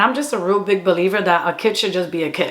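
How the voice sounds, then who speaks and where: A woman's animated voice at medium pitch, with noticeable background noise. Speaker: YouTuber and comedy content creator. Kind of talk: casual storytime monologue.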